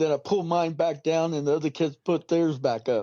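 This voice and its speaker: A man speaking at a moderate pace. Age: 60s. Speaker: call-in guest recounting alien encounters. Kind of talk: casual storytelling conversation. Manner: halting, with fillers.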